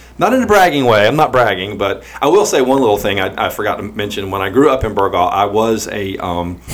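Over noticeable background noise, a man with an American accent talks very fast in a fairly low voice with lively intonation. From US South, eastern North Carolina (Pender County). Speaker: podcast host and real estate agent. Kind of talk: casual chat.

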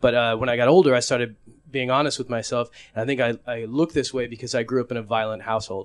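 Very fast and medium-pitched, a man speaks with an American accent over a quiet background. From Egypt-born, raised in US. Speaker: stand-up comedian. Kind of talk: stand-up.

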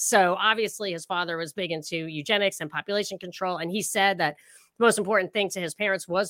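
A medium-pitched woman's voice, bright and sharp, fairly quick, in a very clean recording with a silent background and a dry, close sound with no echo. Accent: slight New York. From New York, Rockland County. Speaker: political commentator. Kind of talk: casual chat.

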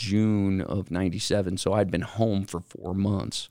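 In a very clean recording with a silent background, a man with an American accent speaks at a fairly low pitch, with a dark, mellow tone and fairly even intonation. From Utah, West Valley. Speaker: mortgage businessman. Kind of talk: casual chat.

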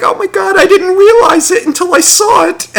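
A man uses a put-on character voice pitched extremely high. He talks at a moderate pace. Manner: mocking, exaggerated amazement.

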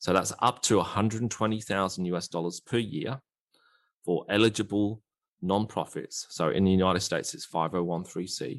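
A fairly low-pitched man's voice with an Australian accent, in a dry, close sound with no echo. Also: ordinary pitch variation, moderate pace. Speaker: digital marketing strategist. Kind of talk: casual interview.

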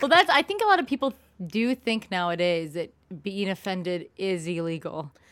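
The intonation is lively and the pace moderate. Noticeable background noise sits behind the voice. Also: woman, medium pitch for a woman. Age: 30s. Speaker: podcast host. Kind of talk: casual chat.

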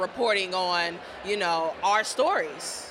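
A woman with an American accent at medium pitch, very slow pace, and noticeable background noise. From Dayton, Ohio. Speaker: journalist, editor. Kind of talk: interview conversation.

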